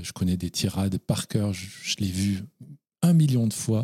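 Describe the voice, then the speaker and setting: With a dark, mellow tone and a somewhat breathy quality, a man speaks at a moderate pace at a fairly low pitch, and the sound is dry and close with no echo. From France. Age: 40s. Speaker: novelist. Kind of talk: interview.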